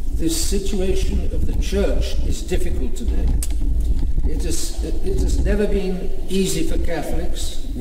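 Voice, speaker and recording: A man talks at a fairly slow pace while noticeable background noise runs behind him. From Britain. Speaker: bishop. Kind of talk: sermon. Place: church. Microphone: camera far.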